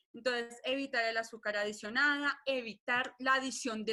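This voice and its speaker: This woman's voice is high-pitched with a bright, sharp tone. She keeps a moderate pace and fairly even intonation. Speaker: nutrition doctor. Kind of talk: webinar lecture. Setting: online webinar.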